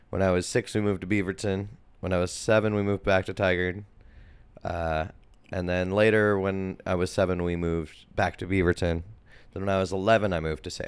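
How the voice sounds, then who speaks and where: A man with an American accent and a very deep, low pitch, flat monotone delivery at a fairly quick pace, on a very clean recording with a silent background. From Portland, Oregon area. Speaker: musician and label owner. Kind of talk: casual interview. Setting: studio.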